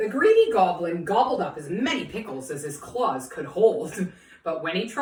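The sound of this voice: The text is being read out. It comes in an unforced reading voice.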